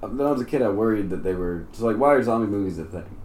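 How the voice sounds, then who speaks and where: A man's medium-pitched voice with lively intonation and audible room echo. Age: 20s. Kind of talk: casual chat.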